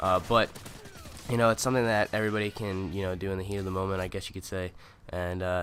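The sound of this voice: Nasal, fast-paced speech with a fairly bright tone and little pitch movement. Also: man.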